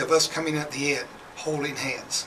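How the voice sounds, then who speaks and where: A man's fairly high-pitched voice, with audible room echo and noticeable background noise. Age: 60s. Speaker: reality TV contestant, military veteran. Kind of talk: radio interview. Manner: halting.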